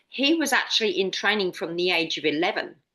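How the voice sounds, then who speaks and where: Here is a woman with an unremarkable speaking voice at medium pitch. Her intonation is lively. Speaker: podcaster. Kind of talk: casual chat.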